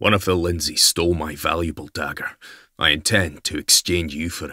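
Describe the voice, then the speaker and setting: A man does a growling, put-on character voice in a Scottish accent, very deep and low in pitch, at a moderate pace with fairly even intonation, the sound dry and close with no echo. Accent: Scottish brogue. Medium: read story. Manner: stern, curt, self-assured.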